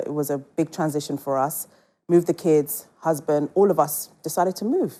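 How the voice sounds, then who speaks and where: This woman's voice is very deep and low, with a dark, mellow tone. She keeps a fairly even intonation at a moderate pace. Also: very clean recording, silent background. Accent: British. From England. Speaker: entrepreneur. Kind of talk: casual chat.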